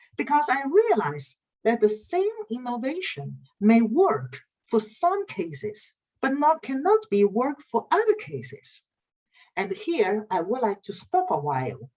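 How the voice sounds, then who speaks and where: A woman with a fairly high pitch talks at a fairly slow pace, her pitch swinging very widely. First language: not English or Dutch. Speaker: university lecturer in research methods. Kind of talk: online lecture. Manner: halting, frequent uh fillers.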